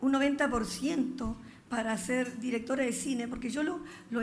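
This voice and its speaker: Ordinary pitch variation at a fairly slow pace. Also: woman. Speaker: guest. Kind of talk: interview answer. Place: stage. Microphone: podium.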